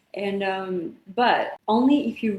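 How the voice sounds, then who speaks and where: A woman with a non-native accent talks at a medium pitch with ordinary pitch variation. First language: not English. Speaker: actress. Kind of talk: interview. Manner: animated.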